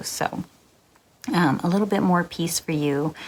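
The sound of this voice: A soft-spoken woman talks at a fairly slow pace.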